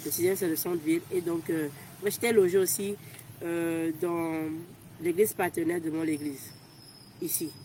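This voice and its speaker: A woman speaks in a fairly low pitch with a dark, mellow tone. Her speech is broken by long, frequent pauses. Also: fairly even intonation. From Togo. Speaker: volunteer. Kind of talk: interview. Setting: outdoors. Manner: fast.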